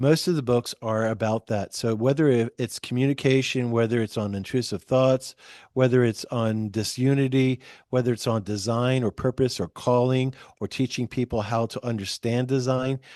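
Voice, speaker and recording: A man speaks in a dark, mellow tone at a medium pitch and a moderate pace. His intonation is fairly even, and the background is quiet. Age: 60s. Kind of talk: podcast interview.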